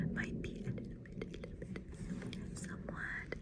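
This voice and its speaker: A woman is whispering at a moderate pace. Noticeable background noise can be heard. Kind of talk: ASMR roleplay, costume fitting. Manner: soft-spoken, whispered.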